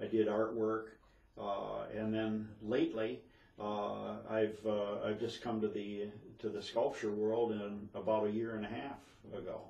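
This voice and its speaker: A man speaks in a fairly low pitch with a dark, mellow tone, monotone, flat intonation, an American accent and a fairly slow pace, with audible room echo. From Michigan, US (Owosso). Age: 70s. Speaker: sculptor and retired auto plant worker. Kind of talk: interview. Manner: halting.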